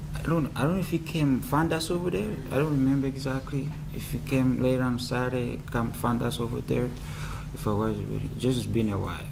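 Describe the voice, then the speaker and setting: A man talks at a fairly quick pace, medium in pitch with ordinary variation. Noticeable background noise and audible room echo come through. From Rwanda, born in Congo. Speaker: trial witness. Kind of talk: court testimony. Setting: courtroom. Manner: quiet; halting. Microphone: too quiet, far from the mic.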